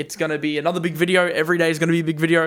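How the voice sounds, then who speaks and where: With an enthusiastic tone, a man rattles along at a very fast pace in a fairly high pitch. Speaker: crypto YouTuber. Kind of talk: market commentary with Q&A. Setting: on camera.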